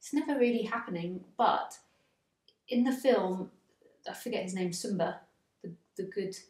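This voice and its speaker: A woman with an English accent speaks at a fairly slow pace in a fairly high, somewhat breathy voice. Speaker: spiritual teacher. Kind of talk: spiritual dialogue.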